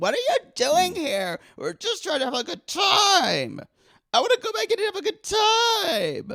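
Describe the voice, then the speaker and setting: A shrill, shouted put-on character voice at an extremely high pitch and a moderate pace. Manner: screaming, shrill.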